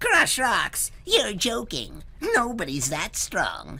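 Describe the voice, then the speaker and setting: Light background noise sits behind a put-on character voice delivered at a very slow pace. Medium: read story.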